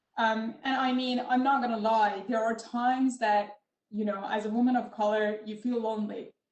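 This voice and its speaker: A woman's fairly high voice, flat and monotone, at a moderate pace, with a non-native accent. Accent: foreign accent in English. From Middle East. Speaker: tech entrepreneur in oil and gas. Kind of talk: panel discussion. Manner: many filler ums.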